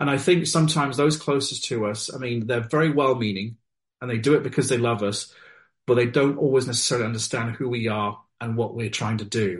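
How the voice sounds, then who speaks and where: A man with a British accent talks at a fairly quick pace, his medium-pitched, somewhat breathy voice showing ordinary pitch variation against a quiet background. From Wales and UK, military family. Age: 40s. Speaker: novelist. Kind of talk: interview.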